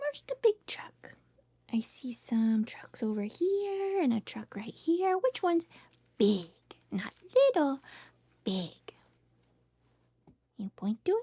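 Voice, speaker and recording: Soft-spoken and high-pitched, a woman with a dark, mellow tone talks very slowly with long, frequent pauses and very wide pitch swings, recorded dry and close with no echo. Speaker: speech therapist. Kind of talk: reading aloud.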